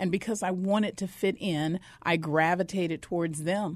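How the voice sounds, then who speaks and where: A woman's normal speaking voice, fairly low in pitch, at a moderate pace with ordinary pitch variation over a quiet background. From northern Arizona (Flagstaff), born in Mississippi. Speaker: educator and former homeless addict. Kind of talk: testimony. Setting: studio.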